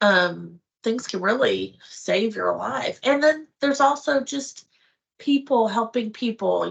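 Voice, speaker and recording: A woman speaks in a plain, everyday voice at a moderate pace. Her intonation is lively. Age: 50s. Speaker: wife of channel owner on carnivore diet. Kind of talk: casual chat.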